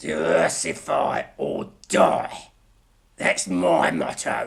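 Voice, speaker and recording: A raspy, very deep, low put-on character voice from a man. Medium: audio drama. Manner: bitter, self-promoting.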